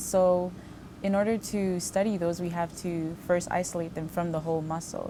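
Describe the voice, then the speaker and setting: Fairly low-pitched woman at a moderate pace, fairly even intonation, music in the background. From Haiti, moved to US at about 8. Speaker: postbaccalaureate research fellow. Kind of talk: interview monologue. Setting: laboratory.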